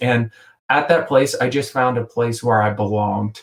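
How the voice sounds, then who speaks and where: With an American accent, a man uses a normal speaking voice at medium pitch with ordinary pitch variation. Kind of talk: podcast conversation. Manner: casual, with many fillers.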